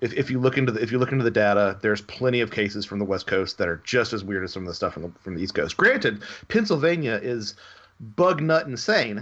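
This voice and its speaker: A man speaks with an American accent at a very fast pace. His intonation is lively. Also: medium pitch for a man. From US South. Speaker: author and researcher. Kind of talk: interview. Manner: halting.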